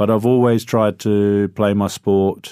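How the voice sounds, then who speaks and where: In a New Zealand accent, a man speaks at a moderate pace with a fairly low pitch and a dark, mellow tone in a monotone, flat intonation. The recording is very clean with a silent background. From New Zealand, Christchurch. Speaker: hotel concierge. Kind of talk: interview.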